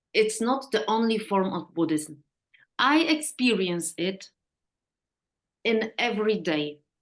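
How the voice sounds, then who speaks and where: With a Polish accent and lively intonation, a woman talks at a very slow pace, leaving long, frequent pauses. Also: fairly high pitch for a woman. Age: 50s. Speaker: therapist. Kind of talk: interview. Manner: halting.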